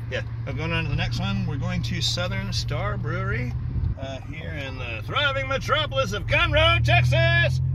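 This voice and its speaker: Loud background noise sits behind a man's voice, which sounds dry with no echo. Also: moderate pace. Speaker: vlogger driving. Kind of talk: casual vlog chat. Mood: relaxed, cheerful. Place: car. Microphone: phone near.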